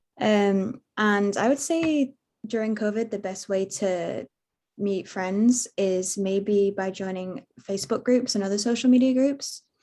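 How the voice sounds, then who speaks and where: A woman with a British accent speaks at a fairly slow pace in a dark, mellow tone, at a medium pitch with ordinary pitch variation. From UK. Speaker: international student. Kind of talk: webinar panel answer.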